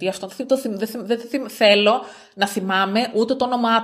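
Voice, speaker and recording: A woman speaks at a moderate pace in a medium pitch. She has a plain, everyday voice. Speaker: podcast co-host. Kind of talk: casual chat. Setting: on a farm on an island.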